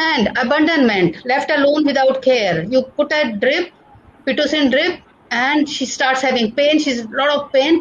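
With an Indian accent, a woman speaks at a moderate pace in a high pitch, her intonation lively and her loudness very even, over noticeable background noise. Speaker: nursing professor. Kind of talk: lecture. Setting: video call.

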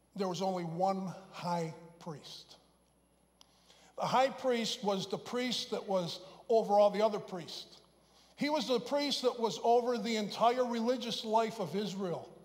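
The speaker goes at a fairly slow pace with ordinary pitch variation, with audible room echo in the recording. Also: man, high pitch for a man. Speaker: pastor. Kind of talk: sermon. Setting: church.

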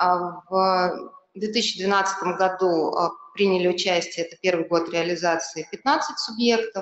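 In a quiet background with audible room echo, a woman speaks at a very slow pace in a medium pitch with ordinary variation. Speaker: government ministry official. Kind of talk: panel talk. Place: hall.

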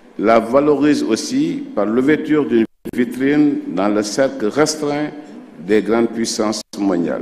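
A man talks extremely slowly while faint noise sits in the background. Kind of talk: formal ceremonial speech. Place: hall. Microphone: podium.

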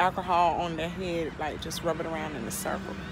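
A woman is heard with a dry sound with no echo and noticeable background noise. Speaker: mother vlogger. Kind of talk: casual vlog chat. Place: street. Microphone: phone near.

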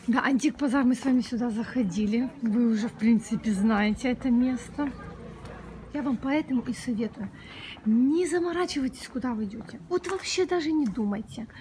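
A woman talks at a moderate pace in a high voice. Light background noise can be heard. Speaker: travel vlogger. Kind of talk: casual vlog chat. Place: street. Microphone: phone near.

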